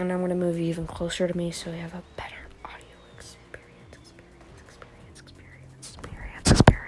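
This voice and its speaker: The speech is whispered. Noticeable background noise sits underneath. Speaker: gaming commentator. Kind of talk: gameplay commentary. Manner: whispering.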